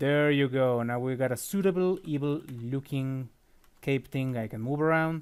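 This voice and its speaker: A man's fairly high-pitched voice with a non-native accent. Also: ordinary pitch variation, moderate pace. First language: not English. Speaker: 3D sculptor. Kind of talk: software tutorial. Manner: casual, with filler words and self-corrections.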